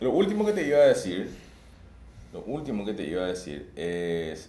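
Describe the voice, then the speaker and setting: A man's voice has a dark, mellow tone and very wide pitch swings. Audible room echo is present. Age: 30s. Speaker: podcast co-host. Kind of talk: casual chat.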